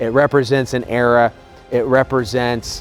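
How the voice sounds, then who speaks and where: A man talks at a fairly slow pace. Behind him, music can be heard. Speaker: auction house representative. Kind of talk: promotional video presentation to camera. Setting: outdoors next to the car.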